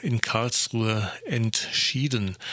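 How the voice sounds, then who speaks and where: His tone is bright and sharp, at a medium pitch. The man's intonation stays fairly even. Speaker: radio host. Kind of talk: news-style radio moderation.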